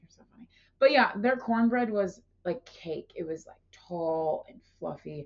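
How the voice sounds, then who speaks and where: A woman of medium pitch in an animated tone with lively intonation, big swings in loudness and a fairly slow pace. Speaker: podcast co-host. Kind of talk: casual chat.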